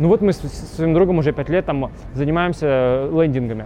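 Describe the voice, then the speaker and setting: At a very fast pace, a man talks in a fairly high pitch with fairly even intonation. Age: 20s. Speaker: business blogger. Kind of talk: interview.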